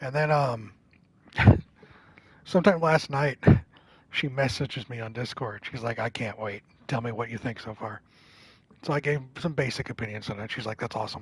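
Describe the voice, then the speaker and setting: The speaker sounds somewhat breathy, keeps a moderate pace with ordinary pitch variation, and leaves long, frequent pauses. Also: man, medium pitch for a man. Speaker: gaming streamer. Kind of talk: live game stream commentary. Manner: low-key.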